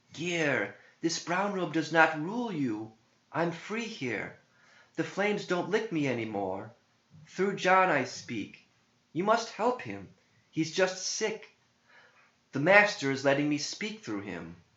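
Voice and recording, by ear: Fairly high pitch and a fairly bright tone in a man's put-on character voice, with big pitch swings, a slow pace, long, frequent pauses and audible room echo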